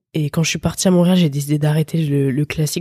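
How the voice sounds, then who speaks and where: Recorded with a dry, close sound and no echo, a woman speaks in a very deep, low pitch with a dark, mellow tone, somewhat breathy and in a monotone, flat intonation. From France, Paris region. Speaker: electronic music producer and DJ. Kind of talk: casual interview.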